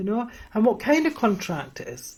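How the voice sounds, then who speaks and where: The voice moves at a moderate pace, somewhat breathy, with very wide pitch swings. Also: woman. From Scotland, near Edinburgh. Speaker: spiritual teacher. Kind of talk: live stream Q&A teaching. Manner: hesitant, many fillers.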